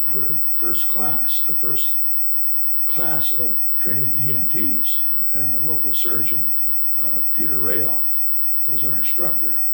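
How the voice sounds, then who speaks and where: Noticeable background noise and audible room echo surround a man with an American accent who talks at a fairly slow pace with long, frequent pauses. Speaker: retired volunteer firefighter and EMT. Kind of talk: oral history interview. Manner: halting, many repeated words.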